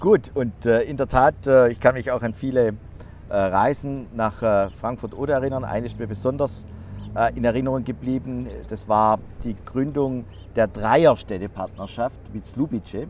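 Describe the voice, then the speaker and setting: At a moderate pace and with ordinary pitch variation, the voice comes through a dry sound with no echo and light background noise. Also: man. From Baden-Württemberg. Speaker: member of parliament; politician host. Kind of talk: interview. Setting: outdoors in front of the Reichstag. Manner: hesitant with frequent fillers. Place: open country.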